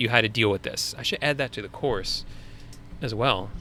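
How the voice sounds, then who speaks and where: Speaking with a Long Island accent, a man has a medium pitch and a bright, sharp tone. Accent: Long Island accent, sometimes. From US Northeast, Long Island. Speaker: online business coach, live stream host. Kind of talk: live Q&A stream. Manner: casual, conversational.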